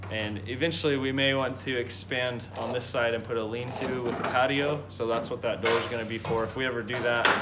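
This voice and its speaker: Loud background noise fills the recording. Over it, a man talks at a very fast pace. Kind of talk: casual vlog explanation. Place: farm machine. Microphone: phone near.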